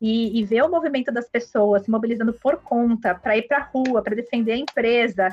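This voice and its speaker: A woman's fairly high voice with ordinary pitch variation, very even loudness and hardly any pauses. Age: 30s. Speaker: HR executive. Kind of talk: interview. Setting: remote, home office. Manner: halting, many fillers.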